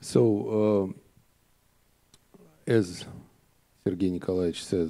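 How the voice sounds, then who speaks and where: Speaking with a Russian accent, a man with a very deep, low pitch talks at a very slow pace with ordinary pitch variation. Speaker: conference organizer. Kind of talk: formal opening speech. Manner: halting, many filler sounds.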